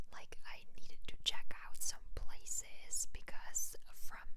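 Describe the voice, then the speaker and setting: Amid noticeable background noise, a woman whispers. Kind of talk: ASMR whisper ramble. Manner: whispered, chatty.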